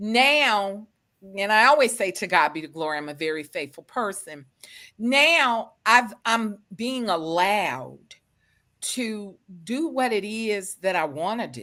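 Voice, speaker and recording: A woman with an American accent, bright, sharp tone, very wide pitch swings and big swings in loudness, at a fairly slow pace, on a very clean recording with a silent background. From US South. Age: 50s. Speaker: author. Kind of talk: interview.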